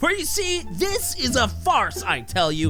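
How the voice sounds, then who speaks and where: The tone is energetic and playful, delivered at a fairly slow pace. Music sits in the background. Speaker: voice actor. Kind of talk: comedic movie review narration. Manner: energetic, playful.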